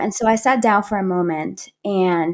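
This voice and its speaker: On a very clean recording with a silent background, a woman speaks with a Spanish accent. Her medium-pitched voice has lively intonation. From Panama. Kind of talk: interview storytelling. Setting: podcast.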